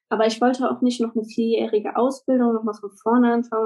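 A woman with a fairly high pitch speaks in a dark, mellow tone. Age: 20s. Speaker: virtual assistant and childcare worker. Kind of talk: casual interview.

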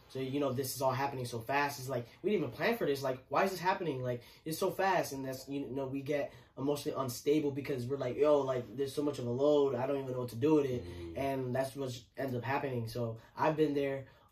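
A man talking at a very fast pace with ordinary pitch variation, over noticeable background noise. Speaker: podcast host. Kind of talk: casual chat. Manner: halting.

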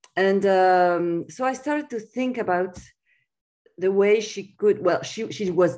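A woman speaks fairly slowly in a French accent. The background is quiet. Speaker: writer. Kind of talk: interview. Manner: halting.

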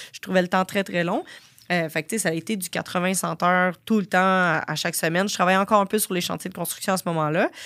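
A woman's medium-pitched voice at a very fast pace with fairly even intonation, on a very clean recording with a silent background and a dry, close sound with no echo. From Quebec, Sorel. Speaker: fitness entrepreneur and business coach. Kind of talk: interview.

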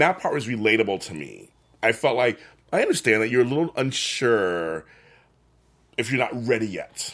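Vocal fry marks this man's medium-pitched voice, which swings very widely in pitch. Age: middle-aged. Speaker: book club podcast host. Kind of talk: casual chat.

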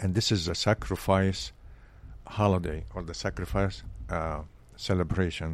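A man's very deep, low voice at a moderate pace, with an Arabic accent, vocal fry, lively intonation and long, frequent pauses. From Egypt. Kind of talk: interview conversation. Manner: hesitant, with frequent fillers.

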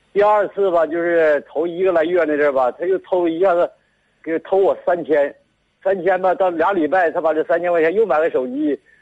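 Speaking at a moderate pace with a Northeastern Chinese accent, a man keeps a high pitch, fairly even intonation and very even loudness. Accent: Northeastern Mandarin. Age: 60s. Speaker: farmer, radio caller. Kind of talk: call-in advice conversation. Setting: phone call. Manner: halting, repetitive.

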